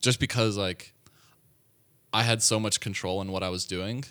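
Bright, sharp tone with an American accent at a moderate pace, on a very clean recording with a silent background. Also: man. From US South, Atlanta, Georgia. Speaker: computer science student. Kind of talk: casual interview.

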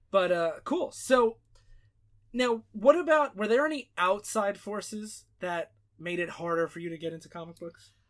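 Playful in tone, a man speaks in a high pitch with lively intonation and big swings in loudness. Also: moderate pace. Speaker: podcast host. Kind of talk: casual interview chat. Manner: joking, playful.

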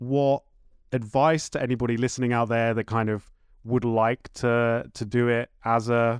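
Recorded very cleanly against a silent background with a dry, close sound and no echo, a man speaks at a moderate pace in a southern English accent. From Horsham, West Sussex, southern England. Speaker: podcast host and label runner. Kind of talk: casual interview chat. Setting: home studio.

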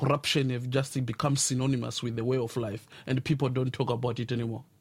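In a very clean recording with a silent background, a man with a somewhat breathy, medium-pitched voice talks at a fairly quick pace. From South Africa (Pretoria). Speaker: blogger. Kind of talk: radio interview. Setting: studio. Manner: halting.

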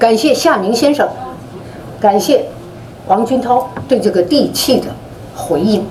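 A woman's fairly high voice with lively intonation and very even loudness, broken by long, frequent pauses, amid noticeable background noise and audible room echo. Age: old. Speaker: foundation board member. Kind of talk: closing remarks.

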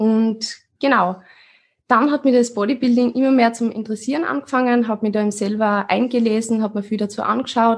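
Somewhat breathy and fairly high-pitched, a woman talks at a fairly quick pace with fairly even intonation. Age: 20s. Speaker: fitness coach. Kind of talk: casual chat.

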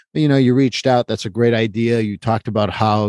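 A medium-pitched man's voice in a Quebec accent, dry and close with no echo, over a quiet background. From Quebec, Montreal. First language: French. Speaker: therapist. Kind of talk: interview conversation. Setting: remote call.

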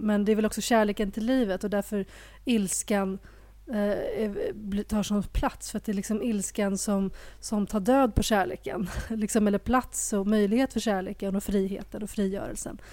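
With a dark, mellow tone and monotone, flat intonation, a woman speaks in a very clean recording with a silent background. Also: medium pitch for a woman, moderate pace. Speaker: podcast co-host. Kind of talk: casual chat.

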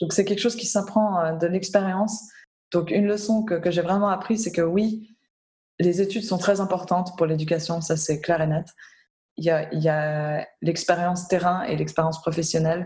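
A woman speaks at a moderate pace in a somewhat breathy, fairly low voice with a dark, mellow tone and fairly even intonation. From Switzerland. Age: 20s. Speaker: humanitarian worker. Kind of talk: interview. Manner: halting.

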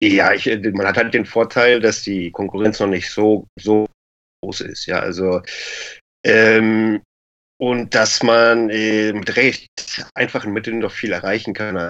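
A man's fairly low voice, very slow and monotone, with flat intonation. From Lower Saxony, Germany. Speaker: e-commerce entrepreneur. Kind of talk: casual interview.

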